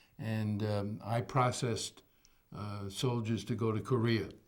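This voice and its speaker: With a New York accent, a man talks at a fairly slow pace using fairly even intonation. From New York City, the Bronx. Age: 80s+. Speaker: retired educator. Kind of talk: oral history interview.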